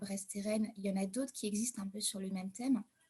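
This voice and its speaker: A woman's medium-pitched voice is somewhat breathy, with fairly even intonation. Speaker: caregiver. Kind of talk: online panel debate. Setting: video call. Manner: hesitant.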